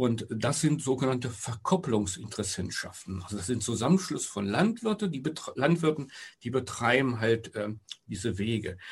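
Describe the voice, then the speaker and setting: In a somewhat breathy voice, a man talks with lively intonation. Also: medium pitch for a man, moderate pace. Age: 60s. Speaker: retiree and local project initiator. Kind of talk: casual interview. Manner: halting, with fillers.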